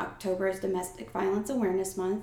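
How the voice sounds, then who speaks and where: A woman with an American accent speaks at medium pitch amid audible room echo and noticeable background noise. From New York and New Jersey. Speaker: artist. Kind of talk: casual interview.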